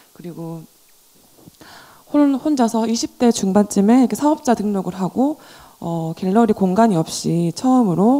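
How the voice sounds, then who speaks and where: A woman with a Daegu accent speaks at a moderate pace in a dark, mellow tone, her lively intonation broken by long, frequent pauses. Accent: Gyeongsang (Daegu) dialect. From Daegu, South Korea. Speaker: gallerist and art dealer. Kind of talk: panel discussion.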